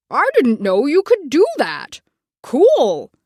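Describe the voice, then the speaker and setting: The pace is very slow. The speaker puts on a character voice. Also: woman, high pitch for a woman. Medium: read story.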